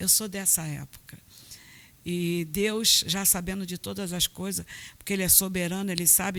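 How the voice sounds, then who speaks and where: An unremarkable speaking voice at a moderate pace. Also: woman. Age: 50s. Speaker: pastor. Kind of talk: testimony. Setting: church.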